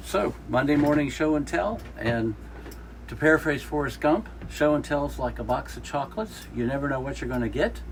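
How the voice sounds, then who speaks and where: A man delivers his words at a fairly quick rate against noticeable background noise. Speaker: interviewer. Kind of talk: casual interview questions.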